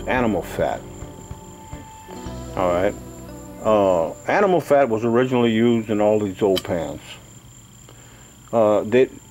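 Faint music plays in the background as a man with a fairly low voice talks at a fairly slow pace, with ordinary pitch variation and long, frequent pauses. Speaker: home repair video host. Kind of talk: tutorial. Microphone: phone near.

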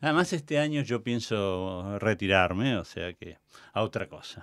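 Fairly low in pitch, a man with a normal speaking voice talks at a fairly slow pace with lively intonation. The recording is very clean, with a silent background. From Argentina. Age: 60s. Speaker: theatre director and cultural manager. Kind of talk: interview. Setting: radio studio.

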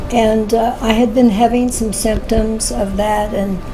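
Background music beneath a woman's moderately paced speech. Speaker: interviewee. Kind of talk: interview answer. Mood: earnest, reflective testimony. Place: home room.

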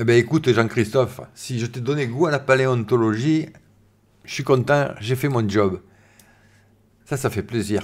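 With a medium pitch, a man speaks with ordinary pitch variation. Long, frequent pauses break up his speech. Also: fairly slow pace. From southern France, Var. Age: 50s. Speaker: science YouTuber. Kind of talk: live stream chat. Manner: casual, hesitant with many fillers. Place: home room. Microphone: studio mic.

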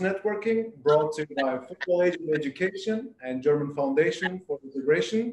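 A man talks at a moderate pace in a high voice. Room echo can be heard, along with light background noise. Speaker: webinar moderator. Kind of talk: scripted introduction. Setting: video call. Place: home room. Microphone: video call.

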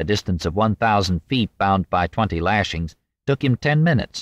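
With a plain, everyday voice, a man talks at a moderate pace and a fairly low pitch with lively intonation, in a very clean recording with a silent background and a dry, close sound with no echo. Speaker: audiobook narrator. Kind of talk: audiobook reading of narrative history, dramatic narration. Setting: studio. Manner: measured, formal; vivid, suspenseful storytelling.

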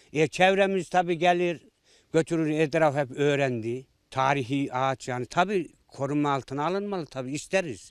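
On a very clean recording with a silent background, a fairly high-pitched man speaks at a moderate pace with ordinary pitch variation. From Central Anatolia, Ankara countryside. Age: 60s. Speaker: villager. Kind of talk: interview. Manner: halting.

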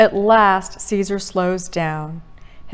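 A natural reading voice is heard here. The clip holds just that.

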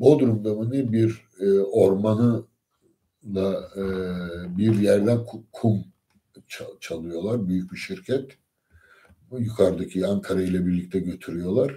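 Speaking at a very slow pace with long, frequent pauses, a man has a fairly low pitch, a dark, mellow tone and ordinary pitch variation. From Turkey. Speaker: lecturer. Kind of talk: lecture. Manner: hesitant with many fillers. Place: home room. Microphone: phone near.

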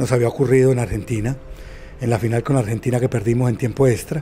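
There is faint music in the background as a man speaks. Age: 50s. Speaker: former futsal player; former champion coach. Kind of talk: interview testimony. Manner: halting. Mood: nostalgic, emotional recollection. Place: home room. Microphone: handheld.

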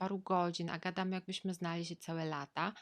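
Fairly even intonation at a moderate pace, with a dry, close sound, no echo and a quiet background. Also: woman. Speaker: vlogger. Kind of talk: personal storytelling monologue. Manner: casual, conversational.

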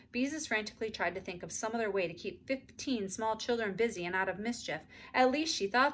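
Text is read aloud in a natural voice. The pitch shifts in an ordinary way.

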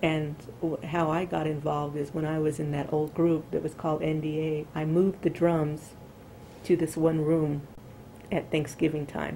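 With an American accent, a woman speaks at a moderate pace in a very deep, dark, mellow voice with monotone, flat intonation over light background noise. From US South, El Paso, Texas; Texas. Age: 40s. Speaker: former nuclear plant chemical operator; interviewee. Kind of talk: oral history interview. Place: home room.

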